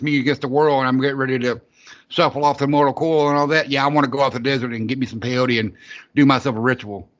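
A man talks at a fast pace with a medium pitch. His tone is bright and sharp.

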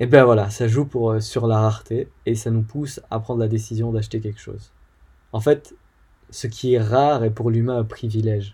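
The voice is somewhat breathy and dark and mellow in tone, speaking at a moderate pace with monotone, flat intonation. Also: man, medium pitch for a man. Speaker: podcast host. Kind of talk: solo educational talk. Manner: hesitant with fillers.

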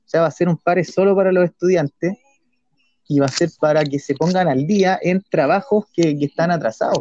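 A man with a Chilean accent speaks at a moderate pace in a high pitch, with a dark, mellow tone, ordinary pitch variation and very even loudness. The sound is dry and close, with no echo. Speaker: podcast co-host. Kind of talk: casual political chat. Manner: halting, repeats words.

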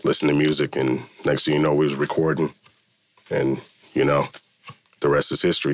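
Noticeable background noise behind a man with an American accent, a very deep, low pitch and a fairly quick pace. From US West Coast, Milpitas in the South Bay. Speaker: hip-hop producer. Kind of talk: casual interview.

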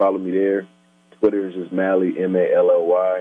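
Speaking in an ordinary speaking voice with an American accent, a man keeps a fairly low pitch and fairly even intonation. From Minnesota, South Minneapolis. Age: 30s. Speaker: hip hop artist. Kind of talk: casual chat. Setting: phone call.

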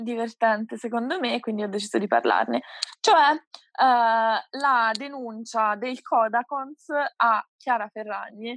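Against a quiet background, a woman speaks very slowly in a fairly high pitch with ordinary pitch variation. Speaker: podcast co-host. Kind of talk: casual chat.

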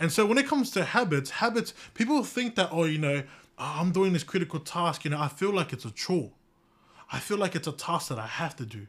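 A fairly quick, high-pitched man's voice with very wide pitch swings, on a very clean recording with a silent background. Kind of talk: pep talk. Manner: animated, emphatic, motivational, rallying the listeners; direct, repeatedly addressing the audience.

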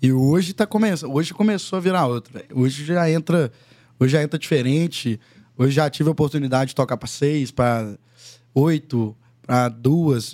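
A man's fairly high voice with a dark, mellow tone, at a moderate pace. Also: ordinary pitch variation. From Minas Gerais interior, Brazil. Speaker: singer-songwriter. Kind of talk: casual chat.

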